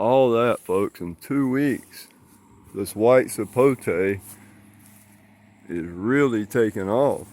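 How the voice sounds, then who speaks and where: In a very clean recording with a silent background, a man with a Southern US accent and a medium-pitched voice speaks very slowly, with ordinary pitch variation and long, frequent pauses. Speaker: gardening vlogger, fruit grower. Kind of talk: casual garden tour vlog.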